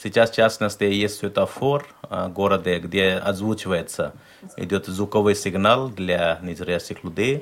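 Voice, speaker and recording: A man speaks in a plain, everyday voice, fairly low in pitch, with ordinary pitch variation. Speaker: interpreter. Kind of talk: live interpreting on radio.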